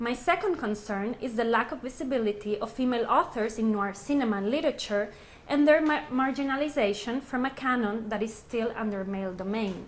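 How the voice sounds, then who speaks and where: A woman with a fairly high voice speaks fairly quickly with hardly any pauses and ordinary pitch variation, amid audible room echo. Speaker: research associate and academic speaker. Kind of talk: lecture. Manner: loud.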